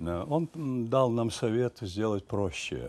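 A very slow-paced man's voice. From Ukraine, village near Kyiv. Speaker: stage actor. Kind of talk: interview. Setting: studio. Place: studio. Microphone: lapel.

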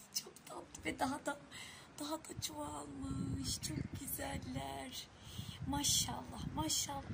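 A woman speaks at a very slow pace. Loud background noise is present. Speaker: home vlogger. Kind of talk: casual vlog chat. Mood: delighted, marveling at snow. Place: home room. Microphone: phone near.

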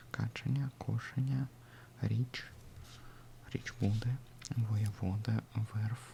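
A man whispers, soft-spoken. His pace is very slow. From Russia. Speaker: ASMR creator learning Ukrainian. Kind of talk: ASMR language study session. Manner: whispered, soft-spoken.

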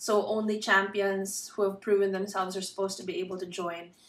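The speaker has a Filipino accent and moves at a fairly quick pace. Audible room echo fills the recording. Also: woman. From Philippines. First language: Tagalog. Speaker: booktuber. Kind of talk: casual vlog. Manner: pauses to find words. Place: home room. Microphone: phone near.

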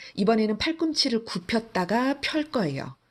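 Somewhat breathy and fairly high in pitch, a woman speaks at a moderate pace with very wide pitch swings. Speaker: fitness instructor. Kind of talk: guided workout instruction, giving exercise cues. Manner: calm, steady, encouraging; imperative, rhythmic cueing in short phrases.

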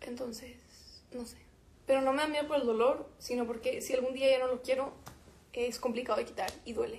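With a high pitch and monotone, flat intonation, a woman shows big swings in loudness and takes long, frequent pauses. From Mexico. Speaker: musician. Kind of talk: casual livestream chat with fans. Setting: Instagram live stream. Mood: relaxed, chatty. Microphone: phone near.

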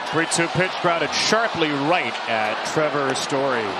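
Someone speaks at a fairly slow pace, the sound dry with no echo, over loud background noise. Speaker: baseball play-by-play announcer. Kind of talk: live sports play-by-play commentary. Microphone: headset.

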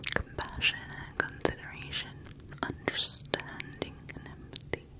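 A soft-spoken whisper at a very slow pace. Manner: soft close ear whisper.

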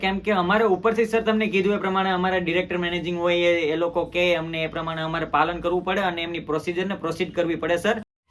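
Noticeable background noise runs under a man whose voice is pitched high. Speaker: prank call youtuber. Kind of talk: prank phone call. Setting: phone call. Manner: formal.

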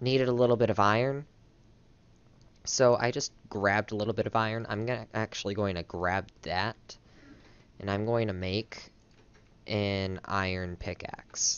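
A fairly low-pitched man, with long, frequent pauses. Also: moderate pace. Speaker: gaming youtuber. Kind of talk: casual gameplay commentary. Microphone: headset.

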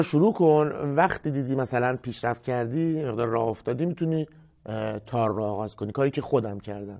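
This man talks very fast at a medium pitch, with ordinary pitch variation. The background is quiet. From Iran, Kashan; Iran. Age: 30s. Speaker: music teacher. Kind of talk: tutorial; course introduction talk. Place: studio. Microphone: lapel.

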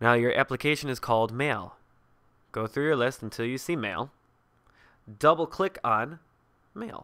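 Pausing long and often, a man with a medium pitch and a bright, sharp tone speaks at a moderate pace with lively intonation. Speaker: software tutorial presenter. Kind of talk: tutorial. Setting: screen recording tutorial. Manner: instructional, step by step.

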